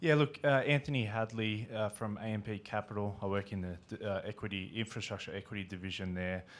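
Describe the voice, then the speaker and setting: Talking at a fairly quick pace with hardly any pauses, a man speaks in an Australian accent. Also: fairly low pitch for a man, ordinary pitch variation. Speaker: infrastructure investor. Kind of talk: panel discussion. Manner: halting, many fillers.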